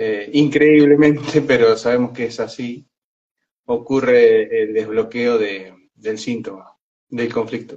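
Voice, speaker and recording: At a very slow pace, a man talks with fairly even intonation and a medium pitch. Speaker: consultant on emotional conflicts. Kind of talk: live-stream conversation. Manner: soft-spoken, speaks quietly; halting, many fillers and repetitions.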